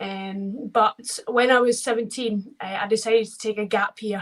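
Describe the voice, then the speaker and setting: Speaking flatly in a monotone, a woman with a Scottish accent keeps her pitch fairly high. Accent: Scottish, toned down in England. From Scotland, Ayr. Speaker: wheelchair basketball player. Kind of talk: interview. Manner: casual, with many fillers.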